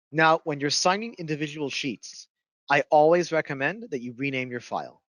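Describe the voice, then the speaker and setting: Fairly high man's voice with ordinary pitch variation, a dry, close sound with no echo and a quiet background. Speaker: software instructor. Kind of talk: webinar tutorial. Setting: online webinar with headset. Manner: fast.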